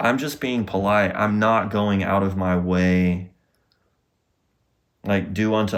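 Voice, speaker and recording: In a Southern US accent, a man with a very deep, low pitch speaks at a very slow pace with fairly even intonation on a very clean recording with a silent background. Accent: Southern US drawl. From US South. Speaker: podcast host, healing coach. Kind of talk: casual monologue.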